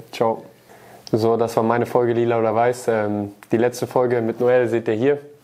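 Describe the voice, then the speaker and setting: A dark, mellow tone with monotone, flat intonation, a slight Baden accent, very even loudness and a moderate pace. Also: man, medium pitch for a man. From Baden, southwest Germany; Germany. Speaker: professional footballer. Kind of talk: casual interview. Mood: amused, laughing. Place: studio.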